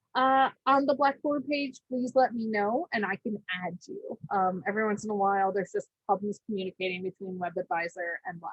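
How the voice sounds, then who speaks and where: A somewhat breathy voice at a fairly quick pace, with lively intonation and hardly any pauses. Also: woman, fairly high pitch for a woman. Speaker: college instructor. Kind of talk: lecture. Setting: video call. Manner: fast.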